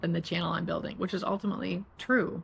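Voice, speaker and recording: A woman speaks in a somewhat breathy voice. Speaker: lifestyle vlogger. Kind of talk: vlog monologue. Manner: halting, with fillers and restarts; sometimes mumbles.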